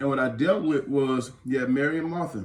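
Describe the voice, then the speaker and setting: A man talks in an animated, somewhat breathy voice, with audible room echo around him. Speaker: pastor. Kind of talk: casual chat. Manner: soft-spoken.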